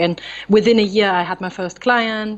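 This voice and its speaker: A woman speaks in a German accent. Her pace is moderate and her pitch variation ordinary. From Germany, near Frankfurt. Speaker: photographer. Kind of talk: interview.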